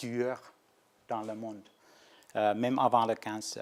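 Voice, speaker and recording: Here a man speaks with a Nordic accent. His pace is fairly slow and his pitch is medium. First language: Finnish (speaking French). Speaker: research scientist. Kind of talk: lecture. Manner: halting, many hesitations and restarts.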